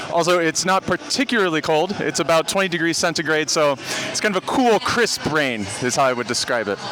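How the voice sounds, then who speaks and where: The voice is loud, with very wide pitch swings at a fairly quick pace. Noticeable background noise sits behind it. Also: man, fairly high pitch for a man. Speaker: sports vlogger, football fan. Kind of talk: vlog commentary at a stadium. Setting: outdoors at a football stadium, in rain. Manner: casual with many fillers.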